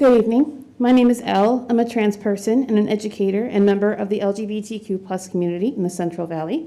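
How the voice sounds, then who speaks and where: This woman speaks very fast in an American accent, with hardly any pauses. Her fairly high-pitched voice has a dark, mellow tone and ordinary pitch variation. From US South. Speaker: public commenter, educator. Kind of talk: prepared public comment. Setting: school board meeting podium.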